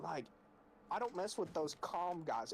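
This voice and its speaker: A man speaks loudly. His pace is moderate. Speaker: gaming streamer. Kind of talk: casual chat. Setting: live stream.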